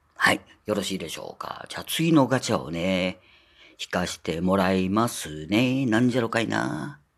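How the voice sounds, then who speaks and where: A man with a very deep, low pitch and vocal fry speaks at a moderate pace, his pitch swinging very widely and his loudness rising and falling in big swings. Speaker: podcaster. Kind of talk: casual solo talk. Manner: chatty, many filler words.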